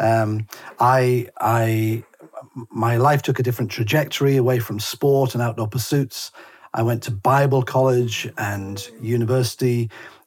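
A man's somewhat breathy, medium-pitched voice in a northern English accent, monotone and flat at a fairly slow pace. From northern England. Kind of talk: interview conversation. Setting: remote call.

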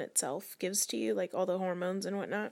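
On a very clean recording with a silent background, a woman speaks in an American accent at a medium pitch. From Northern California. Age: 20s. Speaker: young mother. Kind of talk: interview testimony.

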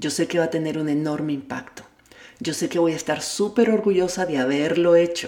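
The voice moves at a fairly quick pace with ordinary pitch variation. Noticeable background noise runs beneath it. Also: woman, fairly low pitch for a woman. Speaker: personal development podcaster. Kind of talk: self-help monologue.

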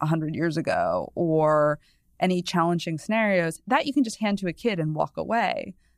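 A woman with an American accent uses an ordinary speaking voice at medium pitch and a moderate pace. Her intonation is lively, and the very clean recording has a silent background. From New England, US. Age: 30s. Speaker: culture and parenting columnist. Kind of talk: casual chat.

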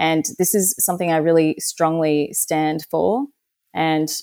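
Speaking at a very slow pace with an Australian accent, a woman uses lively intonation in a dark, mellow tone of fairly low pitch, the sound dry and close with no echo. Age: 30s. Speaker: political candidate. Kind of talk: interview.

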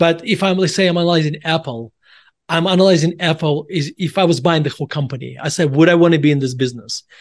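With a Russian accent, a man at a fairly high pitch speaks at a very fast pace with ordinary pitch variation against a quiet background. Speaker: author and value investor. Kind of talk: casual interview.

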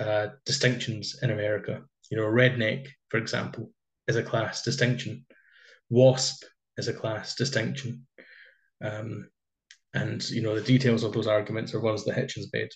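Medium-pitched male voice with vocal fry, fairly even intonation, a moderate pace with long, frequent pauses, and a quiet background. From Scotland. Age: 20s. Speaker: podcast host. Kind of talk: casual interview conversation.

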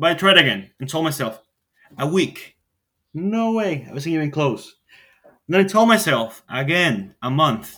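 With a bright, sharp tone, a man talks at a fairly high pitch, with big pitch swings and a fairly slow pace.

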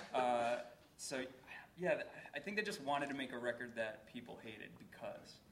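A man with an American accent and medium pitch speaks at a moderate pace with long, frequent pauses, against noticeable background noise. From Boston area. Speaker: indie record label owner. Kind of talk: live panel discussion. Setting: stage with audience.

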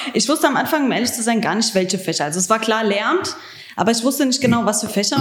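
A woman speaks at a very fast pace with lively intonation and a fairly high pitch. Noticeable background noise runs under her voice. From Germany, Hesse (Frankfurt area), Croatian family. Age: 20s. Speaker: trainee teacher. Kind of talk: interview.

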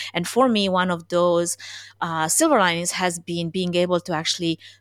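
A woman talks at a medium pitch with a Romanian accent. The sound is dry and close, with no echo.

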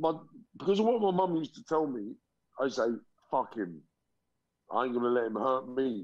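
With a London accent, a man speaks at a medium pitch and a moderate pace, his pitch swinging very widely. Long pauses come often. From London, England (raised from age ~5; born Liverpool). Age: 40s. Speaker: motivational speaker, former gangster. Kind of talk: interview testimony.

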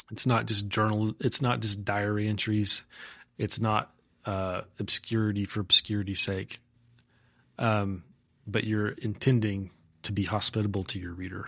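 In a very clean recording with a silent background, a voice with an American accent and a bright, sharp tone moves at a moderate pace in flat, monotone intonation, broken by long, frequent pauses. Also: man, fairly low pitch for a man. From Texas Panhandle, farm near Umbarger. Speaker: poet. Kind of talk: casual chat.

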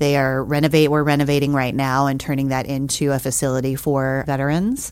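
Her pitch is very deep and low as this woman speaks with an American accent. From US South, New Orleans, Louisiana. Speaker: homeless shelter staff. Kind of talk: casual interview.

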